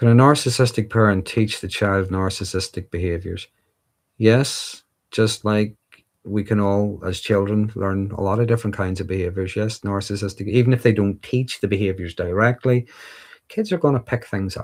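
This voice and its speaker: A fairly low-pitched man at a moderate pace, with fairly even intonation, on a very clean recording with a silent background. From Northern Ireland. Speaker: livestreamer discussing mental health and insecurities. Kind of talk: live stream Q&A reading viewer comments. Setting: livestream. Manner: casual, with fillers and restarts.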